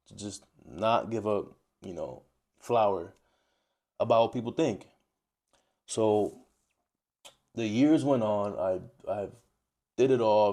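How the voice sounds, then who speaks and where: Very slow and marked by long, frequent pauses, a man's speech in a New York accent has a fairly low pitch, ordinary pitch variation, a dark, mellow tone and big swings in loudness. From New York, Dominican-American. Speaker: travel vlogger. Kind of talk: personal monologue to camera. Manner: halting, with repetitions.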